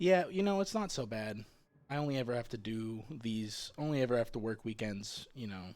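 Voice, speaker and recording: Over a very clean recording with a silent background, a man speaks with lively intonation. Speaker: video game streamer. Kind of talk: casual chat. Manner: low-pitched, deliberately not overstressed; halting, repeats words.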